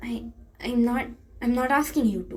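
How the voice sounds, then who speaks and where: A woman uses a shaky, high put-on character voice at a moderate pace. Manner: shaky, nervous.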